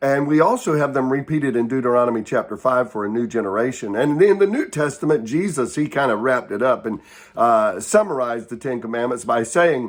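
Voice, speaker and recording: Here a man talks at a fairly quick pace with hardly any pauses. His medium-pitched voice has lively intonation. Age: 60s. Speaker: Bible devotional teacher. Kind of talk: short devotional talk. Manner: hesitant, many fillers.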